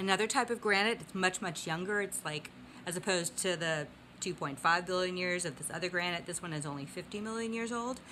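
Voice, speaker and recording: A woman at a fairly quick pace, ordinary in pitch variation, over light background noise. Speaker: geology vlogger. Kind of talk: casual educational vlog. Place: home room. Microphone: phone near.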